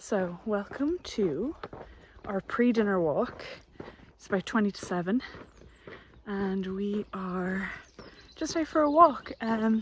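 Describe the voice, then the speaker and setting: A woman talks at a very slow pace, with lively intonation, long, frequent pauses and big swings in loudness. The sound is dry with no echo, over light background noise. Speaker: homestead vlogger. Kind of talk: casual vlog chat. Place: open country. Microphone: phone near.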